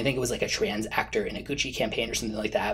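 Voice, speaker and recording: Faint background noise sits under a man's speech. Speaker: fragrance reviewer. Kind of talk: casual vlog chat. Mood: earnest, mildly indignant. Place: home room.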